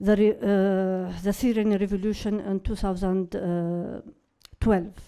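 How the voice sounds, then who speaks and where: A woman speaks at a medium pitch in a dark, mellow tone with monotone, flat intonation. The recording is very clean, with a silent background. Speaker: activist speaker. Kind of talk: conference speech. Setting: conference. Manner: reading from script; halting, many fillers.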